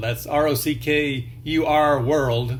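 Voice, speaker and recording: A man's fairly high voice is heard with audible room echo. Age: 60s. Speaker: video blogger. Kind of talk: casual monologue. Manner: hesitant, with frequent fillers.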